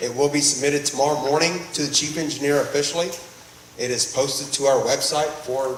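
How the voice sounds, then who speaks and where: Talking at a fairly quick pace, a man with a fairly high pitch and an American accent is heard with audible room echo and noticeable background noise. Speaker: groundwater district presenter. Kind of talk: public meeting presentation. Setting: meeting room with audience.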